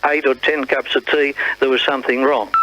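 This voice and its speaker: Speaking with an Australian accent, a man talks at a moderate pace in a fairly high pitch. The sound is dry and close with no echo, though noticeable background noise comes through. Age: 70s. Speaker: retired radio announcer. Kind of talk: interview reminiscence. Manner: halting.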